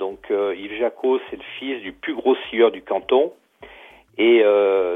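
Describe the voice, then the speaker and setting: A man's voice at a medium pitch with ordinary pitch variation. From France, Loire (Pilat near Saint-Étienne). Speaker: novelist and retired sawmill instructor. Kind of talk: interview. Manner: hesitant, many fillers.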